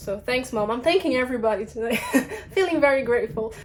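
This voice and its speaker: Noticeable background noise runs under this recording. A woman speaks at a fairly quick pace. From Brazil. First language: Portuguese. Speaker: English teacher. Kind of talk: casual vlog talk. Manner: conversational with many fillers.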